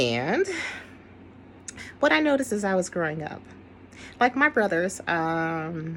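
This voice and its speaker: At a fairly slow pace and with long, frequent pauses, a woman with a fairly low pitch sounds animated, her voice making very wide pitch swings. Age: 60s. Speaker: video commentator. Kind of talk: casual monologue.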